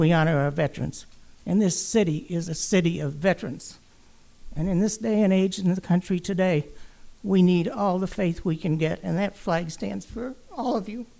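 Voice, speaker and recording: Her voice has a dark, mellow tone at medium pitch, and this woman uses ordinary pitch variation. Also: moderate pace. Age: 80s+. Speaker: resident speaking at public comment. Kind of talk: public comment at council meeting. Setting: city council chamber.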